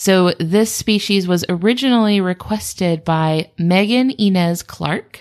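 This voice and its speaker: Speaking in an unremarkable speaking voice, a woman at medium pitch with ordinary pitch variation talks at a fairly slow pace with hardly any pauses and very even loudness, on a very clean recording with a silent background. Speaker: animal review podcast co-host. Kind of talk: casual chat.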